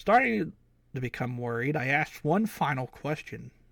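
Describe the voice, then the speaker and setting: A raspy put-on character voice from a man, fairly quick in pace with lively intonation. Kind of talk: casual live-stream creepypasta reading. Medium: game stream. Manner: casual, halting, unpolished reading.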